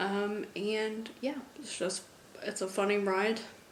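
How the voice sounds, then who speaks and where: Noticeable background noise and audible room echo surround a woman speaking in an American accent. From United States. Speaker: book vlogger. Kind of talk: casual vlog.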